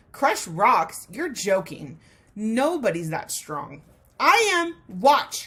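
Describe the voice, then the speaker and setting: Putting on a squeaky character voice, a woman speaks very slowly at a fairly high pitch with very wide pitch swings. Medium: read story.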